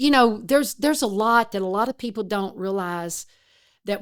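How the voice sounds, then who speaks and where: A woman is speaking. She has an East Texas accent. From East Texas, rural. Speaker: retired forest service worker, disaster responder. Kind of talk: interview storytelling.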